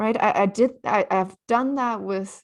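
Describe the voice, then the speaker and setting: In a very clean recording with a silent background, a woman talks at a fairly slow pace. She has vocal fry and a Chinese accent. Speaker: author. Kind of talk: interview. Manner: halting.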